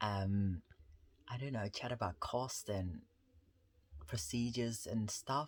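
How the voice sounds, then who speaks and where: Against a silent background in a very clean recording, a man with a fairly low, somewhat breathy voice speaks at a fairly slow pace. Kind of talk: casual talk to camera.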